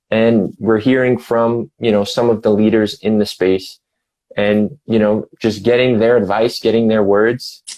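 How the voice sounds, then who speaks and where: A man with a New York accent, medium pitch and a moderate pace. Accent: New York-like. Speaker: music website editor and show host. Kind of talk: casual interview.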